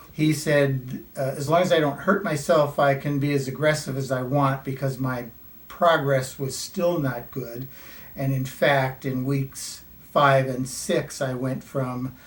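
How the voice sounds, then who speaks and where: This man has a fairly high voice and talks fairly slowly, his intonation fairly even. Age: 60s. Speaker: patient giving testimonial. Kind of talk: testimony. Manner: hesitant with fillers.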